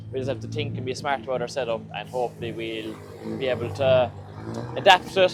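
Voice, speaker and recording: A man speaks with a Cork accent. Music plays in the background. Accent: Irish, County Cork. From Ireland. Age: young. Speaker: drift racing driver. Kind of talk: casual talk to camera.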